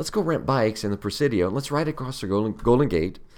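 A man with vocal fry talks at a very fast pace in an animated tone. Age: 50s. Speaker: cycling and walking advocate. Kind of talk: casual interview.

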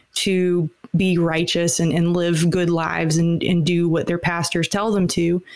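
A woman with an unremarkable speaking voice talks fairly slowly at medium pitch. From US South, Atlanta and Alabama. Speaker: singer-songwriter. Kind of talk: casual interview chat.

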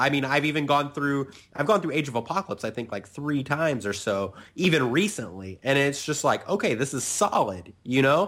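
Lively intonation marks this man's ordinary speaking voice, which sits at a fairly high pitch and moves at a moderate pace. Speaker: podcast host.

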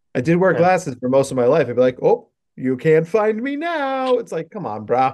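This man has a fairly high pitch and very wide pitch swings. He talks at a moderate pace. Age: 40s. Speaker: psychologist specializing in neurodivergence. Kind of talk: casual chat.

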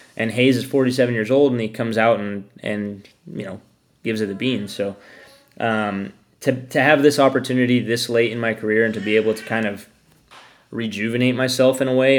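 Here a man speaks at medium pitch in an unremarkable speaking voice, with fairly even intonation. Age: 30s. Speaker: motorcycle racer. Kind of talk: casual chat.

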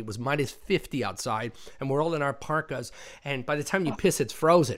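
At a moderate pace, a normal speaking voice moves with ordinary pitch variation over a very clean recording with a silent background. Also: man. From immigrant to the US. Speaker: podcast host. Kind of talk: casual chat.

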